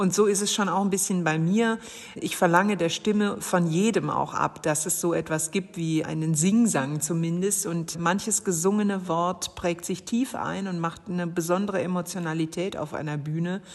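A woman's fairly low-pitched voice with hardly any pauses, over noticeable background noise. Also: fairly even intonation, moderate pace. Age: 40s. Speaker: poet. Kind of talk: interview.

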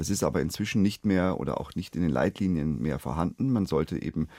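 A man with a very deep, low pitch and a dark, mellow tone talks at a fairly quick pace with lively intonation and vocal fry, the sound dry and close with no echo. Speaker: family doctor. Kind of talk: radio phone-in expert answers. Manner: formal, explanatory.

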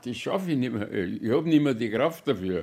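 A man speaks at a medium pitch and a moderate pace. His voice makes very wide pitch swings. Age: 80s+. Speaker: caregiver for wife. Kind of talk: interview.

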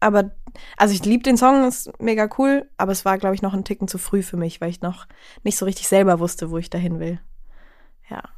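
On a very clean recording with a silent background, a woman speaks in a plain, everyday voice at medium pitch with ordinary pitch variation. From Bavaria, Chiemsee. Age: 20s. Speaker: singer-songwriter. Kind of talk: casual chat. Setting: studio.

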